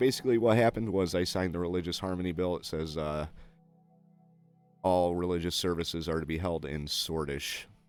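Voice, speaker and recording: With music playing behind him, a man speaks in a very deep, low voice. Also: ordinary pitch variation. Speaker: video game let's play host. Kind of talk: gameplay commentary with reading game text aloud. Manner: slurred; hesitant with frequent uh.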